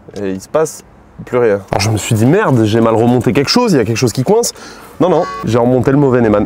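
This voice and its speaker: A man talks very fast at a medium pitch with lively intonation. Music plays in the background. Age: 20s. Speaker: YouTuber car mechanic hobbyist. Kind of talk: vlog tutorial narration. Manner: casual, halting with repetitions.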